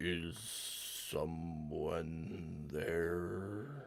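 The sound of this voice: A loud, growling put-on character voice with lively intonation. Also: man, very deep, low pitch for a man.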